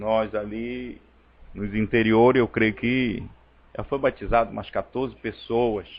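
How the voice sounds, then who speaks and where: At a fairly slow pace, a man with medium pitch speaks in a monotone, flat intonation. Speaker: preacher. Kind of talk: sermon. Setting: church service streamed online.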